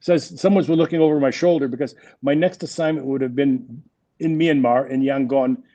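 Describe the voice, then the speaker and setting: A man with a French Canadian accent speaks at a fairly quick pace, in a fairly high pitch with ordinary pitch variation. His tone is dark and mellow, and the background is quiet. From Quebec, Montreal. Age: 60s. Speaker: business executive. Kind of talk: interview.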